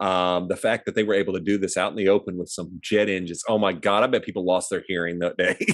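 With a Midwestern American accent, a man rattles along at a very fast pace in a very deep, low pitch and monotone, flat intonation, on a very clean recording with a silent background. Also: hardly any pauses. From US Midwest, small town. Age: 50s. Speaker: movie review podcast co-host. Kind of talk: casual chat.

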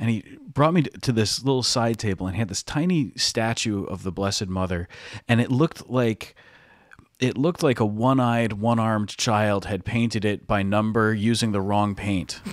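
A man with an American accent and an unremarkable speaking voice talks at a fairly low pitch and moderate pace, with ordinary pitch variation, in a very clean recording with a silent background. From Connecticut, Stratford. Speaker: priest and podcast co-host. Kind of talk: casual chat.

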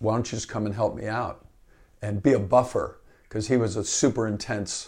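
Recorded very cleanly against a silent background, a man with a somewhat breathy, medium-pitched voice talks at a moderate pace. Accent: American. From Northern California, Marin County. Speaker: associate athletic director and basketball coach. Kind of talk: interview.

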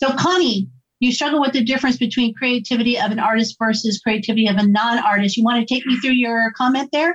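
A woman's fairly high voice at a fast pace, with an American accent. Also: ordinary pitch variation.

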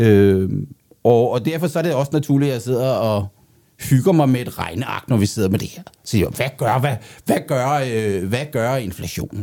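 A dark, mellow tone carried by lively intonation. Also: man, medium pitch for a man, fairly slow pace. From Denmark. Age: 50s. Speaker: economist, co-host. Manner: halting, repeats words; gets louder when excited.

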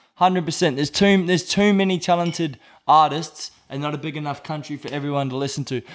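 This man has an Australian accent and a fairly high pitch. He talks at a very fast pace. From Australia, north Brisbane. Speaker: rapper. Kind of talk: casual chat. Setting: studio.

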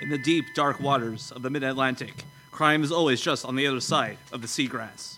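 Over noticeable background noise, a man with a fairly high voice speaks at a fairly quick pace in a dramatic tone. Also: fairly even intonation. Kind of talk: scripted noir narration, performed live. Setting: stage with audience. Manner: dramatic, dry, hard-boiled narrator tone.

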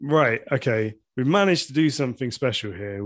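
A man with an English accent speaks at a moderate pace with ordinary pitch variation against a quiet background. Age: 30s. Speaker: podcast host. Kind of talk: casual chat. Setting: home kitchen.

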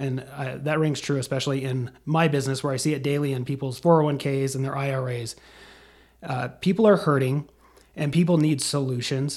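Fairly quick in pace, this voice comes across somewhat breathy. Its intonation stays fairly even. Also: man, fairly high pitch for a man. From Wyoming, Casper. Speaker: Senate candidate and financial advisor. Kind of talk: interview. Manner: halting, many fillers.

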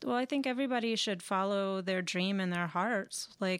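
In a very clean recording with a silent background, a woman with an ordinary speaking voice talks at a moderate pace, medium pitch and ordinary pitch variation. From Austin, Texas. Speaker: stage actor. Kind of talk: casual interview.

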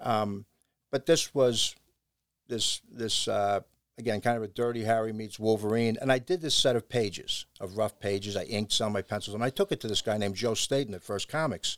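A man with medium pitch and a plain, everyday voice talks at a fairly quick pace with ordinary pitch variation, on a very clean recording with a silent background. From New York and New Jersey, raised in Ohio. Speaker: punk band singer. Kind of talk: casual interview.

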